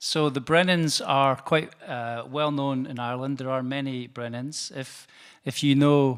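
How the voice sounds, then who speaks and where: A man with a northeastern Scottish accent, medium in pitch, at a moderate pace with fairly even intonation, in a very clean recording with a silent background. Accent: Scottish northeast. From Scotland, Perth. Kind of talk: lecture. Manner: hesitant, with fillers.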